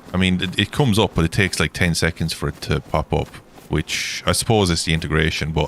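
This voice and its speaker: A man with an Irish accent, very deep and low in pitch, at a moderate pace with ordinary pitch variation. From Ireland. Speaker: gaming livestreamer. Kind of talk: casual livestream chat. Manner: rambling, chatty.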